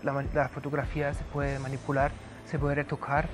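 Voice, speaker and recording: Fairly high-pitched male speech at a fairly quick pace, with music in the background. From Germany. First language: German (speaking Spanish). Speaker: history professor. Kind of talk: lecture. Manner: hesitant, many fillers.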